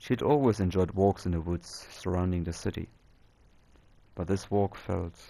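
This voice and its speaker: With a non-native accent, a man talks at a fairly slow pace in a dark, mellow tone. The recording is very clean, with a silent background. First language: not English. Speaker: storyteller. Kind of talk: reading aloud. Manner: halting.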